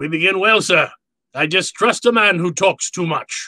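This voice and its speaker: Using a put-on character voice, a man speaks high and raised, projected at a moderate pace, the sound dry and close with no echo. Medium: audio drama. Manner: courtly, verbose, chuckling.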